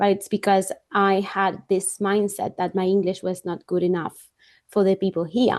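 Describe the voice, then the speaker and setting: A woman with a non-native accent talks at a moderate pace and medium pitch in a flat monotone, against a quiet background. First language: not English. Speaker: podcast host. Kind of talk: interview; scripted introduction.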